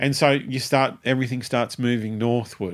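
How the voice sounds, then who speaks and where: A man with an Australian accent keeps his intonation fairly even. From Tasmania, Australia. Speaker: music booking agent and promoter. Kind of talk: interview. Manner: rambling, halting.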